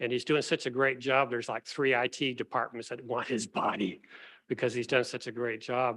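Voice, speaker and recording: In a very clean recording with a silent background, a man speaks at a moderate pace and medium pitch with a bright, sharp tone and monotone, flat intonation. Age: 70s. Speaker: professor. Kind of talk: award ceremony speech. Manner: casual, halting with fillers.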